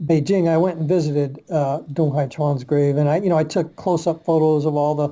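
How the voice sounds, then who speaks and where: Talking with an American accent, a man keeps a fairly high pitch, monotone, flat intonation and very even loudness, moving at a fairly quick pace with hardly any pauses. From Virginia, US South. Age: 60s. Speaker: martial arts researcher and publisher. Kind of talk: podcast interview. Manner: halting, many fillers.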